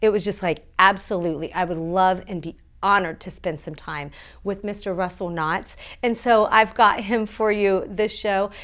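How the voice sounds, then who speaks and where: A woman speaks with fairly even intonation but big swings in loudness. The recording is very clean, with a silent background. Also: medium pitch for a woman. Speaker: TV show host, Army veteran. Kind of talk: interview show introduction. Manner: fast.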